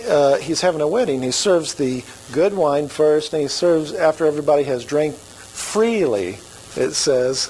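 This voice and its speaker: A man with an American accent speaks at a moderate pace in a fairly high pitch, his intonation lively, over noticeable background noise. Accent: Oklahoma redneck. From Oklahoma. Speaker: pastor. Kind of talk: sermon. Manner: casual, conversational.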